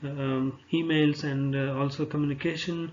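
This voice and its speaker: Here a man speaks at a fairly high pitch. His intonation stays monotone and flat. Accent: Indian. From India. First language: Telugu. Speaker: pharmaceutical sales representative. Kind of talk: job application presentation. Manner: halting, many fillers.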